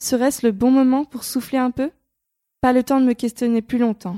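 A woman with a high pitch and a dark, mellow tone in fairly even intonation, on a very clean recording with a silent background and a dry, close sound with no echo. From France. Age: 20s. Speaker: podcast host and freelancer. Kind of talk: scripted narration.

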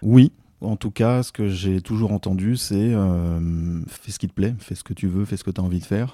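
In a very clean recording with a silent background, a man speaks at a moderate pace with a very deep, low pitch, a dark, mellow tone and fairly even intonation. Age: 40s. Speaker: civil engineer leading a heritage building project. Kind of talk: interview testimony. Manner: hesitant, frequent fillers.

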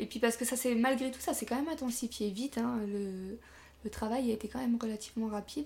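A woman races along very fast, her fairly high voice showing ordinary pitch variation. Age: 20s. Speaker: young mother sharing birth story. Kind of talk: casual interview. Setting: at guest's home.

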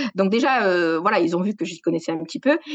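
A woman with a southwestern French accent, medium in pitch, very fast and lively in intonation, in a dry, close sound with no echo. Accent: southwest French. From southwest France, Gers. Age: 40s. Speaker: sports journalist. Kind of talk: interview.

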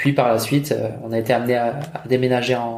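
With audible room echo, a man at a medium pitch speaks with fairly even intonation. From France and Germany, mostly French schooling. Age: 30s. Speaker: sales manager. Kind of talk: interview. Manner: halting, many repetitions and fillers.

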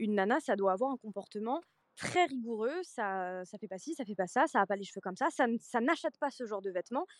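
In a dry, close sound with no echo and a quiet background, a woman with an ordinary speaking voice and a fairly high pitch talks at a fairly quick pace with lively intonation. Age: 20s. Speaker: social media content creator. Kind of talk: casual chat.

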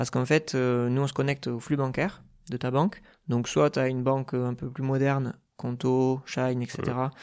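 A man talks at a moderate pace and a medium pitch. His intonation stays fairly even against a quiet background. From southwest France (Dordogne, Bergerac). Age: 30s. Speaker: accountant and company founder. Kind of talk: podcast interview. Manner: hesitant, many filler sounds.

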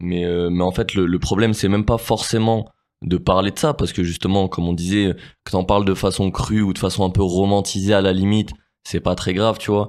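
A man's fairly low-pitched voice at a fairly quick pace, with fairly even intonation, on a very clean recording with a silent background. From Grenoble, France. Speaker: rapper. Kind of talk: interview. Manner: halting.

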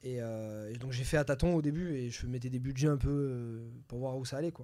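At a moderate pace, a man talks in a medium pitch with a dark, mellow tone. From southern France, near Nice. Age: 30s. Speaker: entrepreneur and real estate investor. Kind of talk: casual interview.

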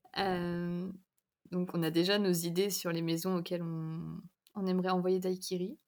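A woman with a fairly low voice talks at a fairly slow pace. Her intonation is flat and monotone. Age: 20s. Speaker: novelist. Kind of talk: casual chat.

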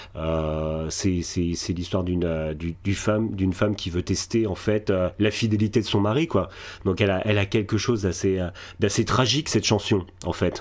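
At a moderate pace and with ordinary pitch variation, the speaker is heard in a very clean recording with a silent background. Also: man, very deep, low pitch for a man. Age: 40s. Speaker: podcaster. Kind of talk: interview. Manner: halting.

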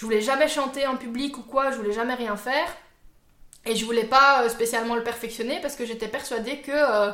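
Through audible room echo, a woman speaks in a high pitch with fairly even intonation. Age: 20s. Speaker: YouTuber. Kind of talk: casual chat.

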